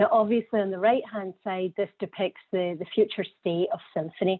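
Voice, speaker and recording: A woman with a Scottish accent, fairly even intonation and a moderate pace. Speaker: healthcare data executive. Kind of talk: conference presentation. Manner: hesitant, repeats words.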